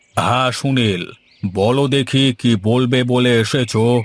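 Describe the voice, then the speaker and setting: A man's cartoonish character voice at a medium pitch, very slow in pace and with fairly even intonation. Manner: authoritative.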